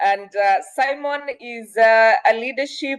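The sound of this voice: At a fairly slow pace, a woman speaks with a clear, smooth tone, fairly high pitch and ordinary pitch variation.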